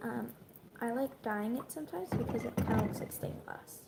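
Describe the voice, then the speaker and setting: Whispering from a woman at a moderate pace over noticeable background noise. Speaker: YouTuber. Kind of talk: cooking tutorial. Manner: casual, hesitant with ums.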